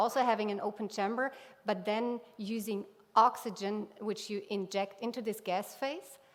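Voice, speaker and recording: Fairly even intonation from a woman, her voice fairly high and her pace moderate. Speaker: scientist. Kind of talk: conference talk. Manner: halting.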